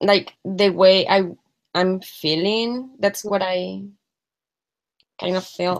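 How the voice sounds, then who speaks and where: In a Mexican accent, a woman speaks at a very slow pace with long, frequent pauses and fairly even intonation. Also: medium pitch for a woman. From Mexico City, Mexico. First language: Spanish. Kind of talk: practice session debrief.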